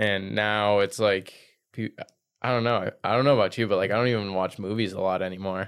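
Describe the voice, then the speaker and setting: A man speaks at a moderate pace in an unremarkable speaking voice. His pitch is fairly low, with fairly even intonation. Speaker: podcast host. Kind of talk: casual interview chat.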